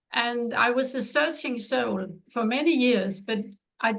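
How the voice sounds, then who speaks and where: A woman with a Danish accent speaks at a fairly high pitch with ordinary pitch variation and vocal fry. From Denmark. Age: 70s. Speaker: author. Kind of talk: interview.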